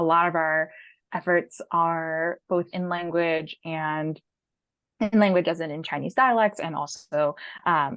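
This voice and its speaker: A normal speaking voice with a General American accent moves at a fairly slow pace with ordinary pitch variation. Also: woman, fairly low pitch for a woman. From San Francisco, California. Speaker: education equity policy manager. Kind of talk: interview answer. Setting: video call.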